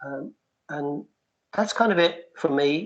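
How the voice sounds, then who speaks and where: Here a man speaks with an American accent. He goes at a very slow pace. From UK. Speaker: researcher presenting to city agencies. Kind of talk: meeting presentation. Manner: halting, many repetitions and fillers.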